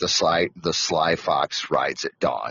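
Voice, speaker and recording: In a raspy, put-on character voice, a man speaks at a fairly slow pace. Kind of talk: radio announcer. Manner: smooth, theatrical.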